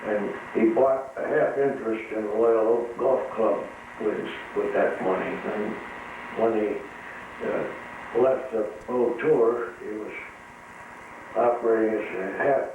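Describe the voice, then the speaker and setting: The speech moves at a fairly slow pace with long, frequent pauses. Noticeable background noise is present. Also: man. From Midwestern US, Illinois. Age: 80s+. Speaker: retired tire factory worker. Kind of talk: interview answer. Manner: hesitant, reminiscing.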